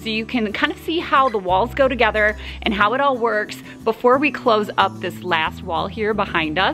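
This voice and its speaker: Music plays clearly in the background. Over it, a woman talks at a fairly quick pace. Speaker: DIY home builder vlogger. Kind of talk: casual vlog chat. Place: open country. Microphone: phone near.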